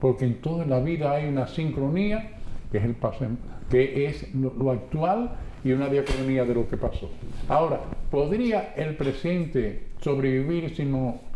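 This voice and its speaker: A man with a fairly high pitch talks, and the room's echo can be heard around him. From Dominican Republic, San Pedro de Macorís. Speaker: radio announcer. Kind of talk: testimony.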